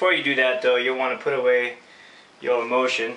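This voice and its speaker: With fairly even intonation and a medium pitch, a man talks while noticeable noise fills the background. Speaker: screen printing tutorial presenter. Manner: casual, chatty.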